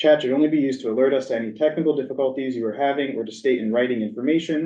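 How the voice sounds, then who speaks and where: This man's voice sits at a medium pitch with ordinary pitch variation. He speaks at a very fast pace. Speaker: committee chair. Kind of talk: meeting chairing. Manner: formal.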